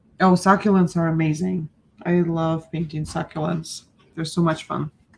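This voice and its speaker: A woman speaks in a fairly low pitch, sounding somewhat breathy. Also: moderate pace. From Ukraine. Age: 40s. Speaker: art teacher. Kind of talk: live-stream painting class. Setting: live stream. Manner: animated.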